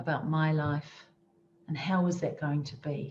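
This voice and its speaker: With a New Zealand accent, a woman speaks at a very slow pace in a very deep, low pitch. Her intonation is fairly even, and audible room echo surrounds her voice. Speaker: motivational speaker. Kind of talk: motivational talk. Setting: virtual conference session.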